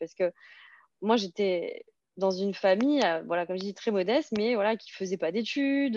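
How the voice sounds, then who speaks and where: A woman's dark, mellow voice at medium pitch, with ordinary pitch variation and a moderate pace, in a dry, close sound with no echo against a quiet background. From Alsace, France (Serbian-speaking immigrant family). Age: 30s. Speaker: blogger and property investor. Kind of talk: interview. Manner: halting, repeats words.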